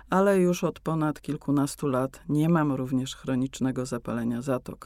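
Moderate tempo from a woman, on a very clean recording with a silent background. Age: 60s. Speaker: meditation teacher, former ballet dancer. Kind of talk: explanatory interview talk. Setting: studio.

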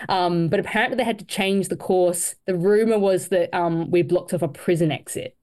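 Against a quiet background, a woman in an Australian accent speaks at a fairly quick pace and medium pitch, with ordinary pitch variation and hardly any pauses. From Australia, Queensland. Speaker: para triathlete. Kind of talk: interview.

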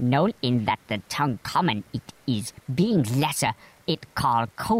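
Text is read aloud here. The delivery is natural.

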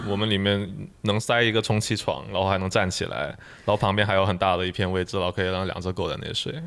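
This man speaks very fast at a fairly low pitch. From Guangdong, China. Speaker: experienced camper. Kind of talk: casual interview chat.

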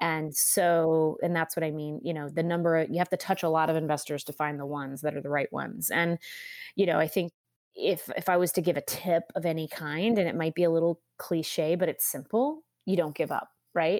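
A plain, everyday voice belongs to a woman with an American accent, fairly low in pitch and fairly even in intonation. She speaks at a fairly quick pace on a very clean recording with a silent background. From California. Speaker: medical device company CEO. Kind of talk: interview.

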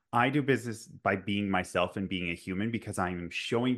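A man with an ordinary speaking voice talks at a moderate pace, his fairly low pitch moving with ordinary variation. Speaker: podcast host. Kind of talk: casual interview chat.

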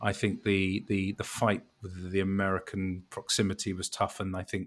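Here is a man speaking. His pitch sits fairly low. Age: 50s. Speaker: law firm chief brand officer and jazz radio host. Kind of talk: interview conversation. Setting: video call. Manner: energetic.

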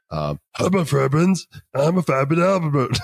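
Using a put-on character voice, a man speaks at a moderate pace with fairly high pitch. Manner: comedic, slurred.

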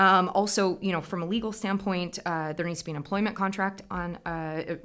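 A woman with an American accent speaks at a moderate pace in a fairly low pitch. The recording is very clean, with a silent background. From US Midwest (Iowa). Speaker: agricultural researcher. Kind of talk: interview. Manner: hesitant, many fillers.

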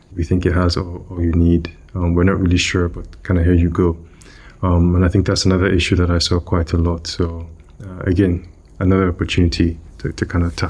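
A man with a very deep, low pitch speaks fairly quickly in a somewhat breathy, monotone, flat intonation. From Nigeria. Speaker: product manager. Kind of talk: interview.

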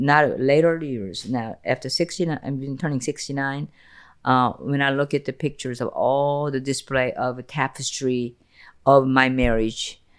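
Very deep and low, a woman's voice comes through in a Korean accent at a moderate pace. The recording is very clean, with a silent background. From South Korea, Seoul. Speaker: podcast host's mother. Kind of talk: emotional personal interview.

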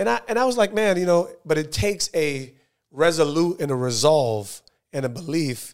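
In a very clean recording with a silent background, a man with a normal speaking voice and a fairly high pitch speaks at a moderate pace. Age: 40s. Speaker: podcast host, former pro football player. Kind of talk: casual interview.

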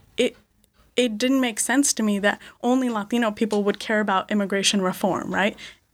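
A woman in a normal speaking voice, fairly high in pitch, at a fairly quick pace with fairly even intonation and very even loudness. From Connecticut, US (born in India). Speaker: venture capitalist. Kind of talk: interview. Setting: studio.

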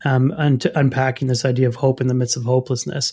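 A man's somewhat breathy, fairly high-pitched voice at a fairly quick pace. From Canada, French Canadian. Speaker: pastor and author. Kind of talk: interview.

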